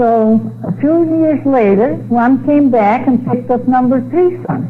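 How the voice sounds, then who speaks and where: A woman speaks at a fairly slow pace with a fairly high pitch and lively intonation. Audible room echo and noticeable background noise surround her. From Netherlands. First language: Dutch. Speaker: speaker giving religious testimony. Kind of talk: testimony.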